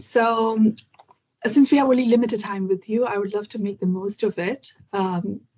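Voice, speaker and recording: A woman speaks at a fairly slow pace in a somewhat breathy voice, her pitch varying in an ordinary way. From India, Kerala. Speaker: English learning YouTuber. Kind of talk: interview conversation.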